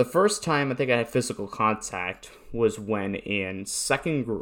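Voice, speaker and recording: A man talks with a northeastern US accent. His pitch is fairly low. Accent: American, northeastern US. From Newtown, Connecticut. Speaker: podcaster and streamer. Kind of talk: casual monologue. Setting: home recording. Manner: halting.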